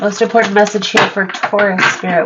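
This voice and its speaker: The delivery is monotone and flat at a moderate pace. Noticeable background noise runs underneath. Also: woman. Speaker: tarot reader. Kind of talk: tarot reading.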